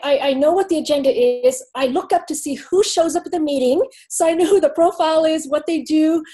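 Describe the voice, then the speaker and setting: Talking at a very fast pace, a woman has a high pitch, ordinary pitch variation, and a dark, mellow tone. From Asia. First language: not English. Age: middle-aged. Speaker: tech industry panelist. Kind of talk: panel discussion.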